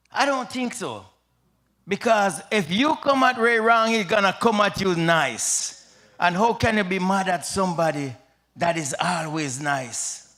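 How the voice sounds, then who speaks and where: Raising and projecting his high-pitched voice, a man speaks in a Jamaican accent at a fairly slow pace with lively intonation. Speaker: retired soldier and pastor. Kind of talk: eulogy at memorial service. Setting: memorial service with audience.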